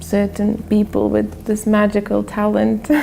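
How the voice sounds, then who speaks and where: Against noticeable background noise, a woman with a Lithuanian accent speaks at a moderate pace. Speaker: filmmaker. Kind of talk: interview.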